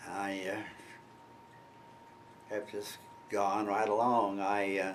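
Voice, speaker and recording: Very slowly and in a fairly low pitch, a man speaks with monotone, flat intonation and audible room echo. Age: 80s+. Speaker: war veteran. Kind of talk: interview. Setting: at home. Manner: halting.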